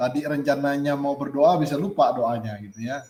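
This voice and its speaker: A man talks at a fairly quick pace. His pitch sits fairly high for a man. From Kalimantan, Indonesia. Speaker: teacher training facilitator. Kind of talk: online group reflection session.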